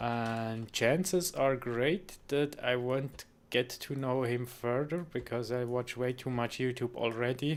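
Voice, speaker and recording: A man with a non-native accent speaks at a medium pitch and a very slow pace. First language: not English. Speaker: gaming streamer. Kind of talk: live stream chat with viewers. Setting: live stream. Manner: hesitant, many fillers and restarts.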